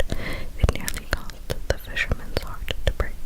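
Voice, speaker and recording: A fairly slow whisper, with noticeable background noise behind it. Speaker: ASMR creator. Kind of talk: story reading.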